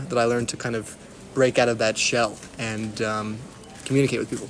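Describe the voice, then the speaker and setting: The speaker is a man with a medium-pitched voice. His pitch stays fairly level. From Texas. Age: 20s. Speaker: university student. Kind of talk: interview. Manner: halting, many fillers.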